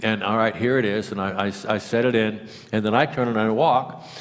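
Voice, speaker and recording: The speaker is a man talking at a fairly quick pace. Room echo can be heard. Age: 70s. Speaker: retired career criminal telling his stories. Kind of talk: storytelling at a public talk. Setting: stage with audience. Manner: halting, many repeated words and fillers.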